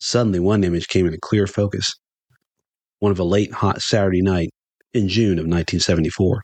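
Speaking in a Southern US accent, a man with a very deep, low pitch moves at a fairly quick pace with very even loudness and long, frequent pauses. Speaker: podcast host and storyteller. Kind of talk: dramatic storytelling narration, folksy. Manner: animated, expressive, theatrical pacing with gusto.

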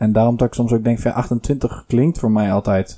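A man's dark, mellow voice at a medium pitch and a moderate pace. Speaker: podcast host. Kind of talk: casual chat.

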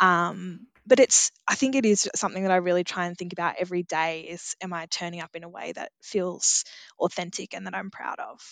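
This woman talks at a fairly quick clip with hardly any pauses. Her pitch is fairly low, her intonation fairly even, and the background quiet. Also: big swings in loudness, dry, close sound with no echo. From regional Australia. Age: 30s. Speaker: agriculture program leader. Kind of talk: interview.

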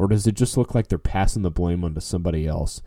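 In a dark, mellow tone, a man talks with an American accent. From New Orleans, US South. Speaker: podcast host, fundraising consultant. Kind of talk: solo podcast monologue. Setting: home. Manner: casual, frequent fillers.

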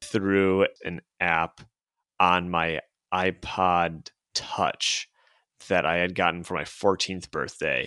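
Very slowly, a man speaks with a very deep, low pitch and a bright, sharp tone, in a dry, close sound with no echo and a quiet background. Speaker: podcast host. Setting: remote recording.

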